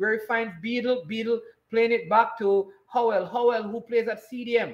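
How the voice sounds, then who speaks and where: Over a quiet background, a man with a Jamaican accent speaks at a moderate pace in an extremely high pitch. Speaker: sports commentator and watchalong host. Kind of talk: live football commentary during a watchalong. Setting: live stream. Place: home room.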